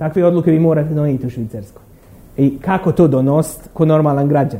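A man speaks in a normal speaking voice. His pitch is fairly high, and his intonation stays fairly even. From Bosnia and Herzegovina, Derventa. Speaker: academic lecturer. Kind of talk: lecture.

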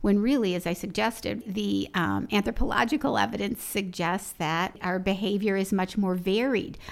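A woman with a medium pitch speaks with an American accent and vocal fry. The recording is very clean and the background silent. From US Midwest, Chicago. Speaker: sociology professor. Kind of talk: interview.

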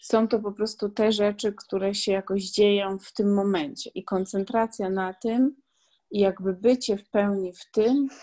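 A woman with a normal speaking voice talks at a fairly slow pace and a medium pitch. Her pitch variation is ordinary, while her loudness swings a lot. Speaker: podcast host and blogger. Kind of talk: casual interview.

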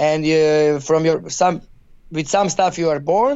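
With a Croatian accent, a man with a fairly high pitch speaks at a very slow pace. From Croatia, Zagreb. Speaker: youth football coach. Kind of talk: interview. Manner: halting.

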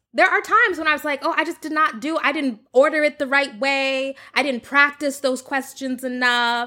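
A woman with an American accent projects a raised voice in a bright, sharp tone and high pitch, with ordinary pitch variation. She keeps a moderate pace with hardly any pauses on a very clean recording with a silent background. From US South (Oklahoma and Texas suburbs). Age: 30s. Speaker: content creator. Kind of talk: interview.

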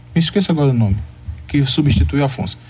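Over noticeable background noise, a man speaks at a very fast pace in a fairly high voice. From Brazil, Salvador, Bahia. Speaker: historian. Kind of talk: radio interview.

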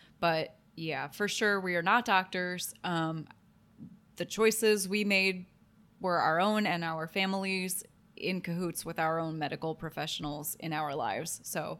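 In a Midwestern American accent, a woman talks at a fairly slow pace with fairly low pitch and ordinary pitch variation, on a very clean recording with a silent background. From Ohio, US Midwest. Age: 30s. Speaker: podcast co-host. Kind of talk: casual chat.

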